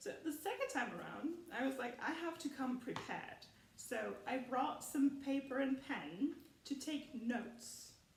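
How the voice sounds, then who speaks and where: With audible room echo, a woman talks at a fairly slow pace in a high pitch with ordinary pitch variation. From Germany. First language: German. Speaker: film commentary youtuber. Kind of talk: casual rant video. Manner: animated.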